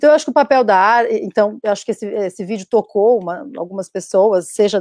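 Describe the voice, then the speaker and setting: Recorded dry with no echo, a normal speaking voice carries lively intonation. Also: woman. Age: 30s. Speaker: actress and feminist activist; actress panelist. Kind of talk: panel discussion. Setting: video call. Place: home room. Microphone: video call.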